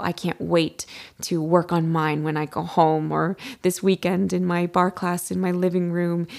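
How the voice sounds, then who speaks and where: A woman talks in a normal speaking voice, pitched fairly low and moving at a moderate pace. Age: 30s. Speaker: podcast host, adult ballet dancer. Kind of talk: solo podcast monologue with tips.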